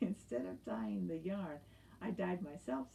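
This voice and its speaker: Over clear background noise, a put-on character voice at a middle pitch makes very wide pitch swings. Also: moderate pace. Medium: read story. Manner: cheerful, content.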